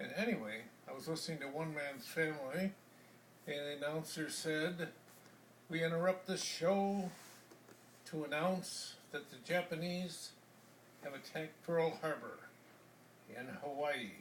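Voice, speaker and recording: Speaking at a fairly slow pace with an American accent, the voice has long, frequent pauses and ordinary pitch variation, with audible echo in the room. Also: man, fairly high pitch for a man. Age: 70s. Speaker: war-era eyewitness. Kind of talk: interview. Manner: halting.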